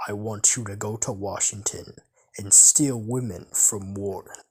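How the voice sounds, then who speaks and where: A man puts on a character voice, pitched fairly low, at a moderate pace. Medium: read story. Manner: gloating.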